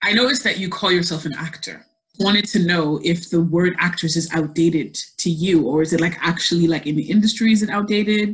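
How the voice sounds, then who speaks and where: Somewhat breathy speech rushes by at a very fast pace with ordinary pitch variation. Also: woman, fairly low pitch for a woman. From Ireland. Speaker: podcast co-host. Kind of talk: casual chat.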